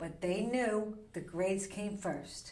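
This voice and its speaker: Medium pitch characterizes this woman's voice. She talks at a fairly slow pace. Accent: American. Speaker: real estate agent. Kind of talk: podcast interview answer.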